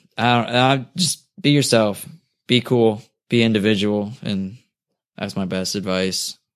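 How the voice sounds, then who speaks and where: Here is a man with a normal speaking voice, medium in pitch and fairly slow in pace. The recording is very clean with a silent background, and his pitch variation is ordinary. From New Jersey. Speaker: professional skateboarder. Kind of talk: casual interview. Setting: host's apartment.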